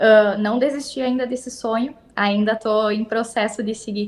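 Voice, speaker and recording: Moderate pace and ordinary pitch variation in a woman's fairly high voice. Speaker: veterinary technician. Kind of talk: interview. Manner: halting.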